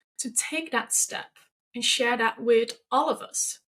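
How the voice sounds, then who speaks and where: Here the speaker has a non-native accent. The pace is fairly slow. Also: woman. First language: not English. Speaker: podcast host. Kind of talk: podcast monologue.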